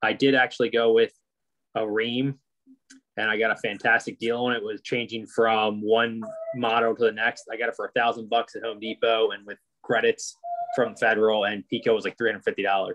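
Over a quiet background, a man speaks at a fairly quick pace. His intonation is monotone and flat. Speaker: webinar attendee; webinar presenter. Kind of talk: Q&A question. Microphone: video call.

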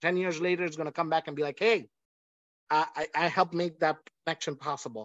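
A man with a high voice is heard against a quiet background, the sound dry with no echo. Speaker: language teacher and nonprofit founder; language teacher. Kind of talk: webinar presentation. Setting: video call. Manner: animated. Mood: friendly, upbeat. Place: home room. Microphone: video call.

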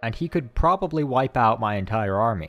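Music plays in the background as a man speaks at a fairly quick pace with very wide pitch swings. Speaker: gaming YouTuber. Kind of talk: casual gameplay commentary.

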